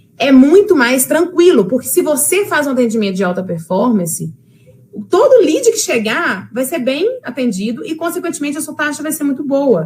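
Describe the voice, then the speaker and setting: A high-pitched woman's voice with very wide pitch swings, over noticeable background noise. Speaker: sales trainer. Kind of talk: lecture. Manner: fast.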